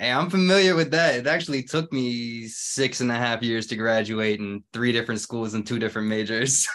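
A man with a normal speaking voice at medium pitch, ordinary pitch variation, a fairly quick pace and hardly any pauses. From Georgia, US (Stone Mountain area). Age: 20s. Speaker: musician and sound engineer. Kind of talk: interview.

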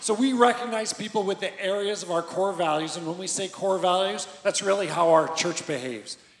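A loud man at a high pitch, with ordinary pitch variation and a moderate pace, amid noticeable background noise. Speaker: church leader. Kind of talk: church service announcements. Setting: stage with audience.

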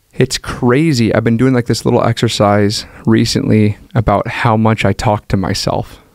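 With a plain, everyday voice, a man speaks at a medium pitch and moderate pace, his loudness very even, his intonation fairly even, and hardly any pauses. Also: dry, close sound with no echo. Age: 30s. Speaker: pastor. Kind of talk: casual chat.

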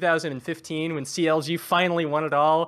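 A man with an American accent speaks in a normal speaking voice, his pitch fairly high. His pace is fairly quick and his intonation fairly even. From US West Coast. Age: 20s. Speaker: caller. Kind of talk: casual chat.

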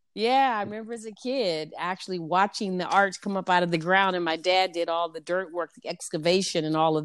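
On a very clean recording with a silent background, a woman talks at a fairly quick pace with a fairly low pitch and ordinary pitch variation. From US Midwest, Saint Louis, Missouri. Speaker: entrepreneur. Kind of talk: testimony.

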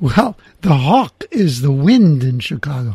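A man's voice with a dark, mellow tone swings very widely in pitch. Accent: New York. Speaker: podcast host. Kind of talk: casual interview. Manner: confident.

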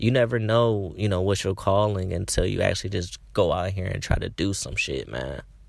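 An animated, fairly quick delivery with hardly any pauses, vocal fry and ordinary pitch variation. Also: man, fairly low pitch for a man. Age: 20s. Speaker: podcast host. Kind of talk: casual monologue. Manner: animated, filler-heavy.

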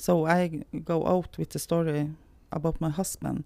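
The tone is dark and mellow. A woman talks at a fairly slow pace. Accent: Norwegian. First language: Norwegian. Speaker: founder of gambling addiction support charity. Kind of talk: interview. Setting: recording on location in Tromsø. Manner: halting.

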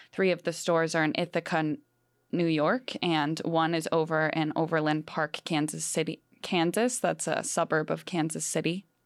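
In a very clean recording with a silent background, a woman with an American accent and a plain, everyday voice speaks at a moderate pace, her fairly low pitch held in fairly even intonation. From Wisconsin, Green Bay. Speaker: student journalist. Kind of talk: casual radio discussion.

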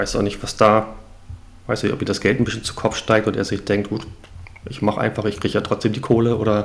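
This man talks very fast at a fairly low pitch, his intonation monotone and flat. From northern Germany, Hamburg. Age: 40s. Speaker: new podcast co-host, football fan. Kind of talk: casual chat.

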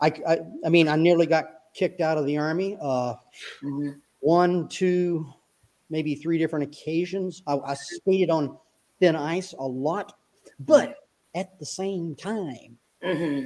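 A dark, mellow tone at a fairly slow pace, with fairly even intonation and long, frequent pauses. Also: man, fairly high pitch for a man. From US South, upstate South Carolina. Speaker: retired army officer and author. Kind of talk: interview.

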